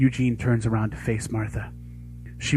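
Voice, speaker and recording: A man talks at a fairly quick pace. Behind him, music plays. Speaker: aspiring voice actor. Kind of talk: narrated scene reading, dramatic. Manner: narrator tone.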